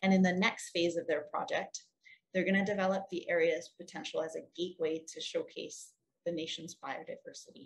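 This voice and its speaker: Her pace is moderate and her pitch medium. This woman's voice is somewhat breathy. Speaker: ecotourism social enterprise representative. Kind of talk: conference presentation. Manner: clear.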